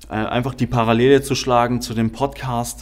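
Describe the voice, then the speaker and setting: A man's medium-pitched voice stays monotone and flat as he talks fairly slowly. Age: 20s. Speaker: podcast host. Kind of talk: podcast introduction monologue.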